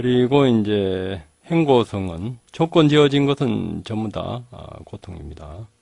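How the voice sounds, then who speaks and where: A man speaks at a very slow pace with very wide pitch swings. His loudness rises and falls in big swings. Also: medium pitch for a man. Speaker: meditation teacher. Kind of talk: dharma lecture. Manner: many filler words, hesitant.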